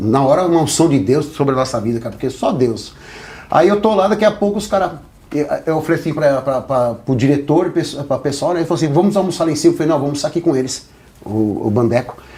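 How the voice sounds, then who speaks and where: Talking very fast, a man with a fairly high pitch sounds animated, his intonation lively. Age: 50s. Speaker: ex-gang member turned evangelical. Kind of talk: podcast interview, life story testimony. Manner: animated storytelling.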